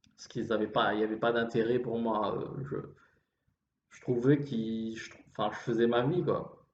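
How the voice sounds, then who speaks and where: In a room with audible echo, a man at a medium pitch speaks with fairly even intonation and big swings in loudness. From Réunion. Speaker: vlogger. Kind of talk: improvised monologue. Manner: slow; halting.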